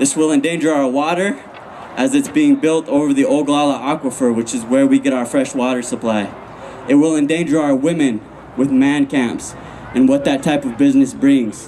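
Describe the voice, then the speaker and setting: A fairly high-pitched man with an American accent, moderate pace and fairly even intonation, against noticeable background noise. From Lakota reservation, US Great Plains. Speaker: hip-hop artist and activist. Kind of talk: rally speech. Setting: outdoor rally. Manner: impassioned.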